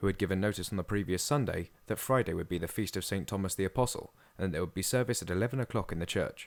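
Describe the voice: The clip is plain reading aloud. Its pitch rises and falls in an ordinary way.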